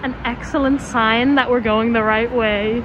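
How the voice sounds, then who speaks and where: Noticeable background noise and audible room echo surround a woman with an Irish accent. Her pitch is fairly high and her pace moderate. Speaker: travel vlogger. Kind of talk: casual vlog talk to camera. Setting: outdoors walking up a hill. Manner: quiet, hushed.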